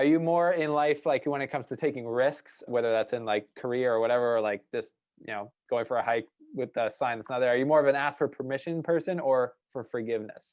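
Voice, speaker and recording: A man with a Canadian accent at a very fast pace, medium in pitch, with ordinary pitch variation. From British Columbia, Canada. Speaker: podcast host. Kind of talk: interview, casual chat.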